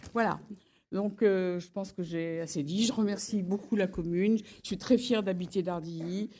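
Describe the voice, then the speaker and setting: Against a silent background on a very clean recording, a woman speaks at a medium pitch and a moderate pace, in a dark, mellow tone with ordinary pitch variation. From Lyon area, France. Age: 80s+. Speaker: honoree, former wine bar owner. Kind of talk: impromptu acceptance speech. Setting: public ceremony with audience. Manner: halting, many restarts.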